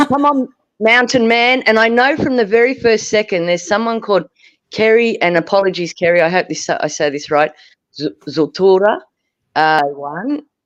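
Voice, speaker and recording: A woman in an Australian accent, medium in pitch with very wide pitch swings, against a quiet background. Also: moderate pace. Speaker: livestream panelist. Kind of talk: casual chat. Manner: animated.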